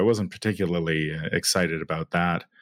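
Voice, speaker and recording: At a moderate pace, a man speaks with a very deep, low pitch. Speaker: podcast co-host. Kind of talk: casual chat.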